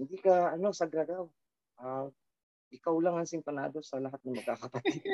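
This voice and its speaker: Moderate pace and ordinary pitch variation in a dry, close sound with no echo. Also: man. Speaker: rock band frontman. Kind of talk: casual interview chat.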